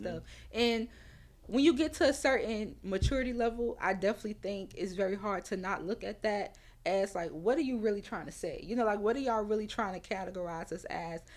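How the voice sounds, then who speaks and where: A woman's medium-pitched voice with a New Orleans accent, a fairly quick pace and ordinary pitch variation. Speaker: author and mental health advocate. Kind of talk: interview answer.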